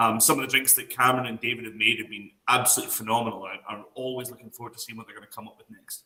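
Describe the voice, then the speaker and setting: Delivered very fast with hardly any pauses, the flat, monotone speech swings widely in loudness. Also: man, medium pitch for a man. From Scotland. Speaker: whisky brand ambassador. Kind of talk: online class.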